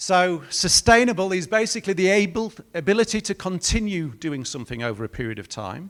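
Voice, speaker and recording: Speaking with a British accent, a man at a high pitch moves at a fairly quick pace with hardly any pauses, very wide pitch swings and big swings in loudness. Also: very clean recording, silent background. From Britain. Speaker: industry speaker from a breeding company. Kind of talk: conference presentation.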